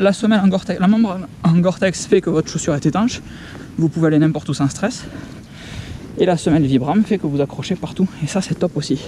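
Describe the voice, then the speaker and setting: A man talks very fast at a high pitch with ordinary pitch variation, yet leaves long, frequent pauses. Noticeable background noise is present. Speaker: hiking vlogger. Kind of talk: outdoor vlog narration. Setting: outdoors on mountain trail. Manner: casual, interjection-filled; soft-spoken.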